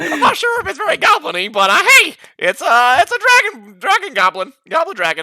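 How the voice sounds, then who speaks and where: In a put-on character voice, the speaker goes fairly quickly at a high pitch, swinging very widely in pitch with hardly any pauses. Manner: playful, tentative.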